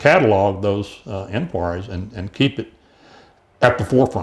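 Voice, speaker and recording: A man with an East Texas accent, fairly low in pitch and somewhat breathy, against a quiet background. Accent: East Texas Southern US. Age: 70s. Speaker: mayoral candidate. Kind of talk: interview. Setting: studio. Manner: halting, many fillers and repetitions.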